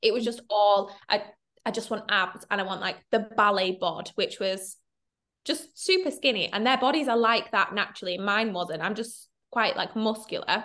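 Someone with a Mancunian accent speaks at a moderate pace, using ordinary pitch variation. The tone is bright and sharp, the background quiet. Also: woman, fairly high pitch for a woman. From Manchester, northern England. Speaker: content creator and confidence coach. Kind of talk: casual interview chat. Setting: online call.

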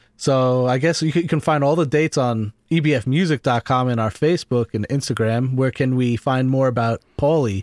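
A man at medium pitch with an unremarkable speaking voice, ordinary pitch variation, very even loudness and hardly any pauses. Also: moderate pace. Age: 30s. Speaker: podcast host and blues musician. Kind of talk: casual interview chat; scripted intro and outro.

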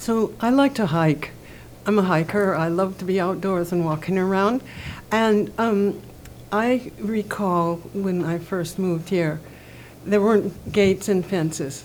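With ordinary pitch variation and a fairly slow pace, this is an unremarkable speaking voice. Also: woman, medium pitch for a woman. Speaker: community member. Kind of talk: panel discussion, casual.

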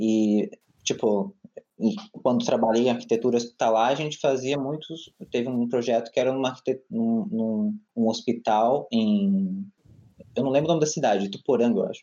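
With an ordinary speaking voice, a man talks at a moderate pace and medium pitch, his pitch varying in an ordinary way. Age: 20s. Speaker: architect and LGBT rights advocate. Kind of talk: casual chat. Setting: video call.

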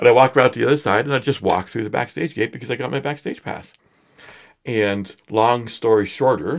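The recording is very clean, with a silent background. A man with a Canadian accent has an ordinary speaking voice and lively intonation. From Edmonton, Alberta, Canada. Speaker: singer-songwriter and photographer. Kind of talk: casual interview chat. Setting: studio.

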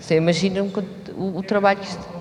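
At a moderate pace, a woman talks in a medium pitch. Noticeable background noise and audible room echo fill the recording. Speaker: choreographer. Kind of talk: post-show talk.

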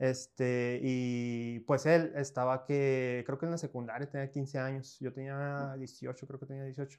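The man speaks at a medium pitch in a monotone, flat intonation. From northern Mexico, Coahuila (Piedras Negras). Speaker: choreographer and dance teacher. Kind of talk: casual interview.

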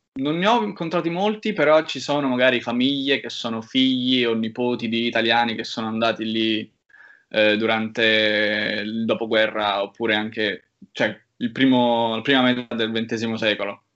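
With an ordinary speaking voice, a man talks at a fairly slow pace, medium in pitch and with ordinary pitch variation. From Rome, Italy. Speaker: university student. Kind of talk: casual interview.

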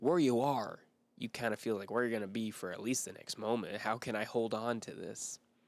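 This very clean recording has a silent background. A man speaks at medium pitch with ordinary pitch variation. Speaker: podcast host giving devotionals. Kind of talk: devotional talk. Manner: fast; stumbling over words.

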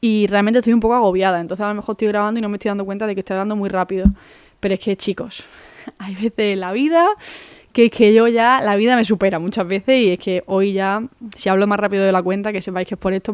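A woman's medium-pitched voice at a very fast pace, fairly even in intonation, with a dry, close sound and no echo. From Málaga, Andalusia, Spain. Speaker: podcast host. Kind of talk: casual monologue. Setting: home.

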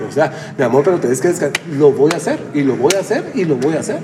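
Over noticeable background noise and audible room echo, a man with a fairly high pitch talks at a fairly quick pace. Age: 40s. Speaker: gym owner and fitness coach. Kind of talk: casual interview. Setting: gym.

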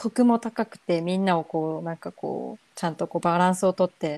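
A woman's voice sounds dark and mellow, pitched fairly low with ordinary variation. The recording is dry and close, with no echo. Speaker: podcast co-host. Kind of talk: casual chat.

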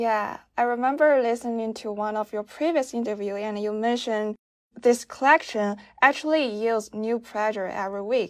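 A woman with a Chinese accent and a fairly high pitch, ordinary pitch variation and a moderate pace, on a very clean recording with a silent background. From China. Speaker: podcast host. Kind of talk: interview.

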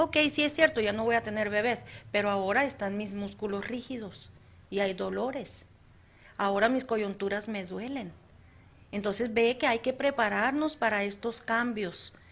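A woman has an ordinary speaking voice, fairly high in pitch with ordinary pitch variation. She talks at a moderate pace against a quiet background. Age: 50s. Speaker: psychologist, radio presenter. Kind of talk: casual chat. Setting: studio.

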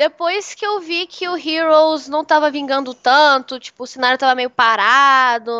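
Pitched high and bright, sharp in tone, a woman projects a raised voice at a fairly slow pace with hardly any pauses. The sound is dry and close, with no echo. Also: ordinary pitch variation. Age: 20s. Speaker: streamer. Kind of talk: casual chat.

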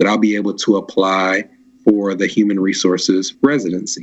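Noticeable background noise sits behind this man's fairly quick delivery. He has an American accent and a fairly low pitch. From Nashville, Tennessee, US South. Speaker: podcast guest. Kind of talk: casual chat.

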